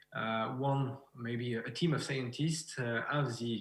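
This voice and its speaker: Through audible room echo, a man with a French accent speaks at a moderate pace and medium pitch, with fairly even intonation. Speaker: beekeeper and researcher. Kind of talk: conference presentation. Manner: halting.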